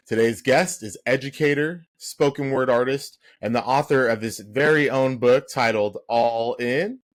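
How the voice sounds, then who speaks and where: Hardly any pauses break up this man's fairly slow delivery, given in an ordinary speaking voice at medium pitch with ordinary pitch variation. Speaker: podcast host. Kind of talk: podcast interview questions.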